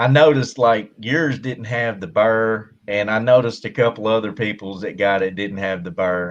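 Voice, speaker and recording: The speaker has a strong Southern US accent and a fairly slow pace. Pitch variation is ordinary. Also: man. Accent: strong country Southern. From Kentucky, US South. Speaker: army veteran, tank loader. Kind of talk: casual live-stream chat. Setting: hot room at home, air conditioner off.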